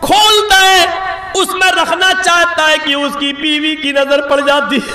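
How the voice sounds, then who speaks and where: A man with an extremely high pitch and a non-native accent, his raised, projected voice animated in tone, with noticeable background noise and audible room echo. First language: not Bengali (speaking Hindi). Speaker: Islamic preacher. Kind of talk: sermon. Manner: animated storytelling.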